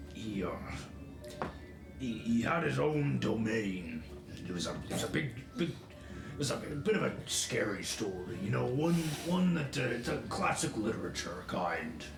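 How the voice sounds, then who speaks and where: Over loud background noise, a man does a put-on character voice at a medium pitch and a moderate pace. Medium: actual play. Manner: halting, stammering.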